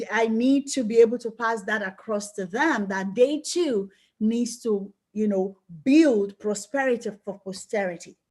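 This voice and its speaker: A woman with a Nigerian accent speaks at a fairly slow pace, her pitch fairly high and her pitch variation ordinary. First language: Yoruba. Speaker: life coach and book club host. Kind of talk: book club discussion. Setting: group call.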